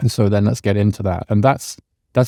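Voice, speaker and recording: A man speaks at a fairly low pitch with a dark, mellow tone and fairly even intonation, in a dry, close sound with no echo on a very clean recording with a silent background. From UK. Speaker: policy scholar and author. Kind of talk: podcast interview. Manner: grounded, measured delivery.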